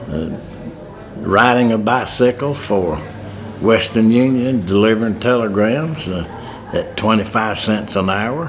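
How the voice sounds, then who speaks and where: A man with a Southern US accent and a medium pitch, ordinary pitch variation, a fairly slow pace, long and frequent pauses, noticeable background noise and audible room echo. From US South, North Carolina. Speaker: war veteran. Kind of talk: testimony.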